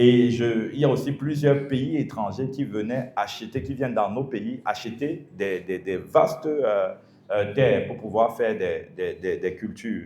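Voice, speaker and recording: At a fairly slow pace, a man with a medium pitch and a dark, mellow tone speaks with ordinary pitch variation amid audible room echo. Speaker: pastor. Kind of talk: sermon.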